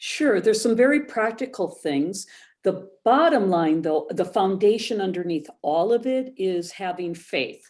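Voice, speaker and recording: Very clean and set against a silent background, the recording carries a woman's normal speaking voice at a medium pitch, moving at a fairly slow pace with lively intonation. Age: 60s. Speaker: photographer, former social worker. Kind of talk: interview.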